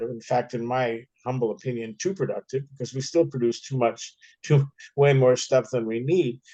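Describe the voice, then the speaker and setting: Speaking at a moderate pace, a man has a dark, mellow tone. He talks with an American accent. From United States. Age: 70s. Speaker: author and filmmaker, activist. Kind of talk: Q&A discussion. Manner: halting, with repetitions.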